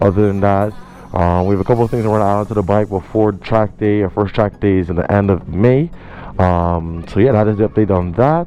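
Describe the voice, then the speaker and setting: Over music in the background, a man with a fairly low pitch speaks at a very fast pace. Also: ordinary pitch variation. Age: 20s. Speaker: motorcycle vlogger. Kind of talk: casual vlog talk. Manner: hesitant, many fillers.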